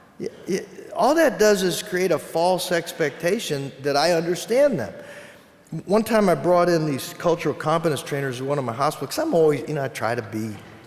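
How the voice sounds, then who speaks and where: A man talks at a fairly quick pace in a fairly high pitch, with very wide pitch swings. Noticeable background noise runs underneath. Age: 60s. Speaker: psychologist and keynote speaker. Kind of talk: keynote speech. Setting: conference stage with audience.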